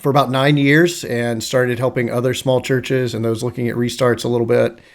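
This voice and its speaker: A man talks at a fairly quick pace. His intonation is monotone and flat over noticeable background noise. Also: medium pitch for a man. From US South, North Carolina. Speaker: church district superintendent. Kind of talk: casual interview.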